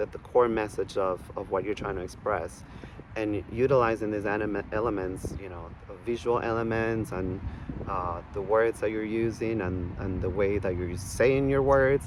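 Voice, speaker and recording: A man speaks at a fairly low pitch. Background noise is noticeable. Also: ordinary pitch variation, moderate pace. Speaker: artist and video creator. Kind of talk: casual vlog monologue. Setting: outdoors in a park. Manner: halting, many fillers and restarts; soft-spoken.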